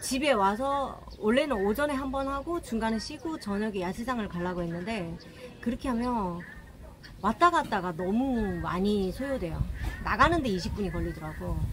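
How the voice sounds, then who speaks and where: Noticeable background noise sits behind the speech. A woman talks at a moderate pace with lively intonation. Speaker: travel vlogger. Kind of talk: casual vlog chat. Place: street. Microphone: phone near.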